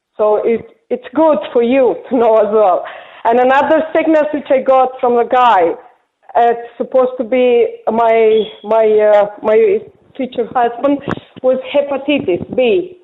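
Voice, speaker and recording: A woman's high-pitched voice at a fairly slow pace, with very even loudness and ordinary pitch variation. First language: not English. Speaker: caller. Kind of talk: phone-in testimony.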